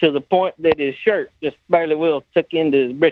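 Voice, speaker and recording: This is a man's voice. He talks with a strong Southern US accent. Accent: deep Southern US. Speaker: body shop owner, former insurance adjuster. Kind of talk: casual storytelling.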